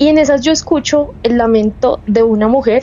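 Through noticeable background noise, a woman with a Bogotá accent speaks at a fairly high pitch with ordinary pitch variation. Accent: Bogotá Colombian Spanish. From Bogotá, Colombia. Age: 20s. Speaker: caller sharing paranormal story. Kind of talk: personal testimony. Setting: remote call.

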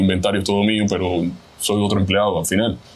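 A man speaks in a Cuban accent. His pitch sits fairly low. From Cuba, Havana. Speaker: chef. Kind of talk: interview.

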